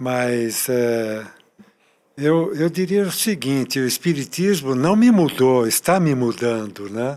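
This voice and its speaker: Very slow delivery with lively intonation, in a very clean recording with a silent background. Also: man. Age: 70s. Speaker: retired spiritist volunteer. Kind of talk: podcast interview.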